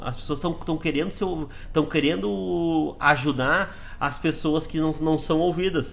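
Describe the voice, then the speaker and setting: Speaking at a fairly slow pace, a man sounds animated, his fairly high pitch showing ordinary pitch variation. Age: 30s. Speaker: sales director giving team talks. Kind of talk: motivational talk. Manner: casual, animated.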